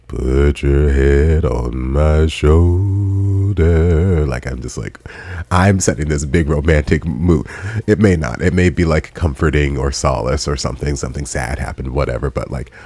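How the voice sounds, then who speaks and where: The speaker talks at a fairly slow pace with ordinary pitch variation. There is noticeable background noise. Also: man, very deep, low pitch for a man. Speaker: YouTube reaction host. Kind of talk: casual video reaction commentary. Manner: softer, lower pitched, close.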